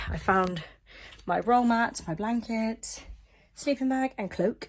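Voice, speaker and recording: A woman speaks with an English accent at a fairly slow pace. Her pitch is fairly high, with ordinary variation. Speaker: historical reenactment vlogger. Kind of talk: casual vlog. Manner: hesitant, many fillers.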